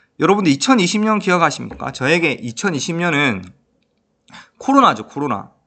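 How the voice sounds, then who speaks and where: High-pitched male voice with very wide pitch swings, a bright, sharp tone and long, frequent pauses. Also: fairly quick pace. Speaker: high school career counselor teacher. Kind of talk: educational talk to camera. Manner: conversational with frequent fillers.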